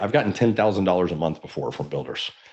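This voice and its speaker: Lively intonation marks this man's voice. He talks at a very fast pace. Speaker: real estate coach. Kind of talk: webinar training. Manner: animated.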